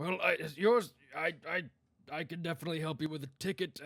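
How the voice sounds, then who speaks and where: This is a put-on character voice with a raspy sound. It moves at a fairly quick pace with ordinary pitch variation. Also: man, fairly high pitch for a man. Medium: actual play. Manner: hesitant, stammering, businesslike.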